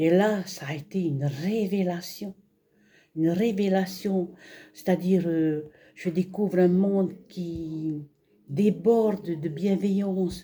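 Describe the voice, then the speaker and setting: A woman speaks at a very slow pace with long, frequent pauses, her medium-pitched voice somewhat breathy. Her tone is dark and mellow, her intonation fairly even. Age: 60s. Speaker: retiree giving a testimonial. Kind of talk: testimony. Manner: halting, many fillers.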